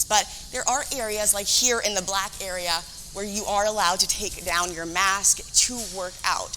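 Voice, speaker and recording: Over music in the background, a woman talks at a moderate pace with a medium pitch and fairly even intonation. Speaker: TV news reporter and anchor. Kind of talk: TV news field reporting, live stand-up.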